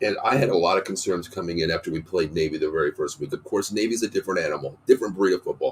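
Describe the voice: A man talks at a very fast pace with a low pitch. His voice has a slightly husky edge. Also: ordinary pitch variation.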